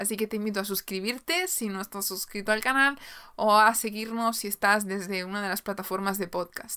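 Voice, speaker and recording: A woman's bright, sharp tone at a medium pitch, with fairly even intonation and a fairly quick pace. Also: very clean recording, silent background. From Galicia, Spain. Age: 20s. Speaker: podcast host and YouTuber. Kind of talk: casual solo monologue.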